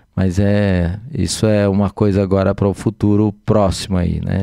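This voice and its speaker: A fairly low-pitched man talks in a dark, mellow tone, monotone and flat, with very even loudness. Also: dry, close sound with no echo. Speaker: physician and city councillor. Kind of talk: casual podcast chat. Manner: hesitant, many fillers.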